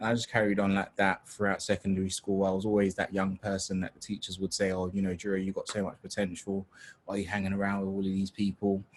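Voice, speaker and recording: A man with a London accent talks at a very fast pace in a monotone, flat intonation. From London (Tottenham), arrived from Nigeria at seven. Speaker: webinar host and youth organisation founder. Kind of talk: panel discussion, moderating. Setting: video call webinar. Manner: casual, repetitive stammering.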